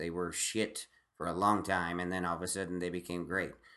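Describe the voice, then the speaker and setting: Over a quiet background, a loud voice with a bright, sharp tone moves at a fairly quick pace. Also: man. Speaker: stand-up comedian. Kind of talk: casual chat. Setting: home recording. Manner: halting.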